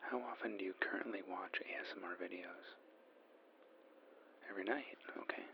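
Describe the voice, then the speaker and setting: Someone whispers at a moderate pace with long, frequent pauses. Noticeable background noise sits behind the voice. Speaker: ASMR artist playing a magazine journalist on a phone interview. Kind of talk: ASMR role play, phone interview. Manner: soft-spoken, calm, gentle.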